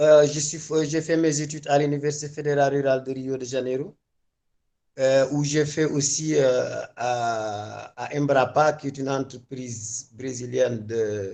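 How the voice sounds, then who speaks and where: With a Senegalese accent, a man speaks at a fairly slow pace in a fairly high pitch, his tone dark and mellow and his intonation fairly even. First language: Wolof (speaking French). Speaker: agronomist. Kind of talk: panel talk. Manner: halting.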